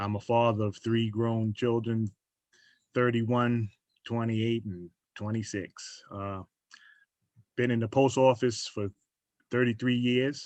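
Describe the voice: A man talks slowly, leaving long, frequent pauses. His medium-pitched voice has a slightly mellow tone and fairly even intonation.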